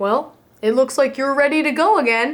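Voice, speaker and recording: A woman puts on a high-pitched character voice. She talks at a moderate pace with ordinary pitch variation. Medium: read story.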